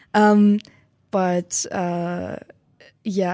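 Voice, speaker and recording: A woman speaks with a German accent. Her tone is dark and mellow, and her intonation fairly even. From Germany. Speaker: exchange student. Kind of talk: interview.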